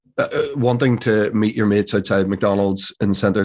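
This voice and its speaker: With a Northern Irish accent, a man talks at a moderate pace and fairly low pitch over a quiet background. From Northern Ireland. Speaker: actor. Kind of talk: interview answer.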